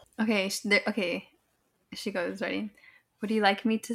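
A text is read aloud in a natural voice. Nothing much is heard behind it, as the background is quiet.

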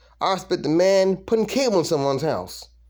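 A man at a moderate pace with ordinary pitch variation, on a very clean recording with a silent background. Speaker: stand-up comedian. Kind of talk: stand-up comedy. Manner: animated, laughing at his own jokes; casual, rambling, conversational.

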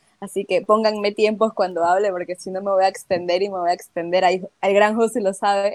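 At a fairly quick pace with hardly any pauses, a woman speaks in a medium-pitched, monotone, flat voice, recorded with dry, close sound and no echo. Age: 20s. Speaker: travel content creator. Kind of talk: casual chat.

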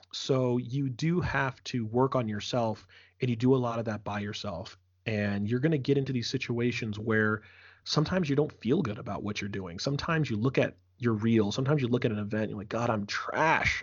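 This man has an ordinary speaking voice and an American accent. He speaks at a fairly quick pace and medium pitch with ordinary variation. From US Northeast, Philadelphia. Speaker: esports host and commentator. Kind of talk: casual interview.

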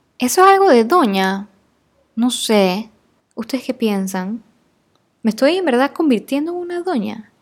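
Slowish in pace and full of long, frequent pauses, a woman speaks in a high pitch that swings very widely. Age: 20s. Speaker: podcast host. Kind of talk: casual monologue. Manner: animated.

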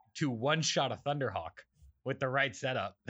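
A man's ordinary speaking voice at a moderate pace, pitched fairly high. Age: 20s. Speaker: podcast host. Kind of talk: casual chat.

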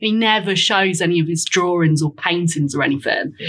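A woman with a Lincolnshire accent. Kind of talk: casual chat.

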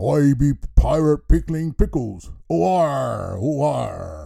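Using a put-on character voice, a man speaks at a very slow pace, sounding raspy and gruff. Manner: boisterous, exaggerated.

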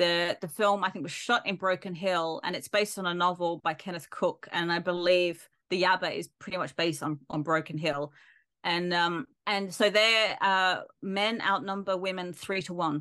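A woman speaks at a moderate pace with a bright, sharp tone. Her intonation is fairly even, and the background is quiet. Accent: Australian. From Perth, Western Australia. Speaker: film lecturer. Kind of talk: interview conversation. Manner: halting, many fillers.

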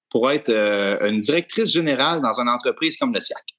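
Over a quiet background, a man's voice shows vocal fry and very wide pitch swings, captured with a dry, close sound with no echo. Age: young. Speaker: podcast co-host, dairy farmer. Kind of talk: podcast interview.

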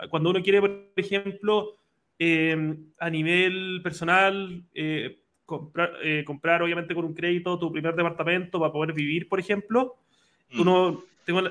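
A man's high-pitched voice stays monotone and flat. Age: 20s. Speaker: podcast host. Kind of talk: interview.

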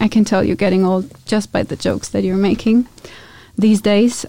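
A dark, mellow voice with a German accent, a fairly quick pace and fairly even intonation. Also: woman. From Germany. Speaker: podcast co-host. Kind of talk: casual chat.

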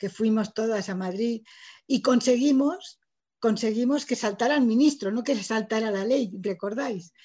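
Against a quiet background, a woman speaks at a fairly slow pace with a fairly high pitch and ordinary pitch variation. Her tone is dark and mellow, and somewhat breathy. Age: 60s. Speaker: writer. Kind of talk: lecture.

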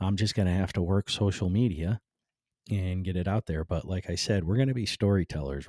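With an American accent, a man talks at a fairly quick pace in a very deep, low voice with a dark, mellow tone, recorded very cleanly against a silent background with a dry, close sound and no echo. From Cleveland, Ohio. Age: 50s. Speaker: podcast host and construction business owner. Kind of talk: casual monologue. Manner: laid-back; halting, many fillers.

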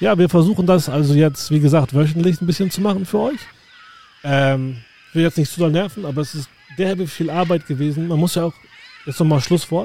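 Over noticeable background noise, a man talks fairly quickly at a fairly high pitch with ordinary pitch variation and long, frequent pauses. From northern Germany, southern Hamburg. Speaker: podcast host, tour guide. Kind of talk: casual chat.

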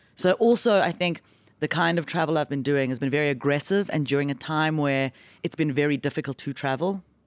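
A woman talks at a fairly quick pace in a very deep, low pitch with ordinary pitch variation. The recording is very clean, with a silent background. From South Africa. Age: 40s. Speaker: stand-up comic. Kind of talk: casual chat. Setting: studio.

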